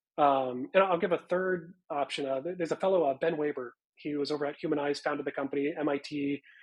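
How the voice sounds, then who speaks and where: Talking very fast, a man keeps a fairly high pitch. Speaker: people analytics executive. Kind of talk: podcast interview.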